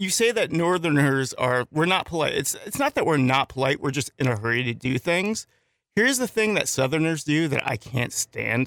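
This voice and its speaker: A plain, everyday voice: a man with an American accent, fairly high pitch, lively intonation, moderate pace, and very even loudness, in a dry, close recording with no echo and a silent, very clean background. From northern US. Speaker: radio co-host. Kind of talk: casual chat. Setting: studio.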